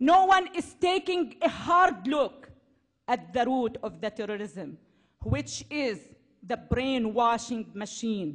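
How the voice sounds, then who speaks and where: A woman with a Syrian accent speaks very slowly, her voice set high. Her pitch swings very widely. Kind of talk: public speech.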